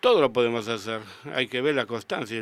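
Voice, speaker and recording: It is a plain, everyday voice from a man at a medium pitch. He speaks at a fairly quick pace with fairly even intonation. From Argentina, Rosario. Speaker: sculptor. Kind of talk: radio interview. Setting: radio studio.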